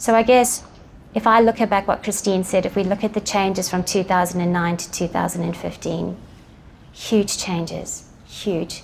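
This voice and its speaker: At a moderate pace, a woman talks at medium pitch with ordinary pitch variation and vocal fry. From South Africa. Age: 40s. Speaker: eating disorder advocate and peer mentor. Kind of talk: personal testimony talk.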